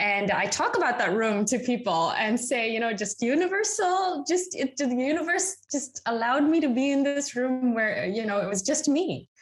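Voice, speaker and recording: A woman talks at a moderate pace with hardly any pauses, her high voice making very wide pitch swings at very even loudness. Noticeable background noise runs underneath. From Tanzania, then England from age 13. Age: 40s. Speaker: life coach. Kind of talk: interview conversation.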